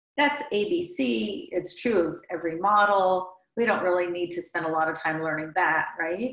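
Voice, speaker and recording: A woman with an American accent and a plain, everyday voice, fairly low in pitch, with lively intonation, a moderate pace, and hardly any pauses. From US Midwest. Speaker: therapist and trainer. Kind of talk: interview conversation.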